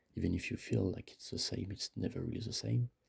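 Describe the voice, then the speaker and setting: A man's fairly low-pitched voice with vocal fry. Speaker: vlogger. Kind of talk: casual monologue. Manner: halting. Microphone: too close to the mic.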